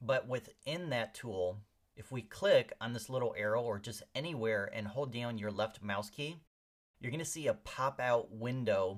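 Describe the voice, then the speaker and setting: A man with a plain, everyday voice, medium pitch and ordinary pitch variation, speaking fairly slowly. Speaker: software instructor. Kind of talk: tutorial.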